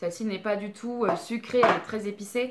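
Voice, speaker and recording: Noticeable background noise runs under the recording. A woman talks at a fairly slow pace with a fairly high pitch. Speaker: beauty and candle youtuber. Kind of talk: product review vlog. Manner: hesitant, many fillers.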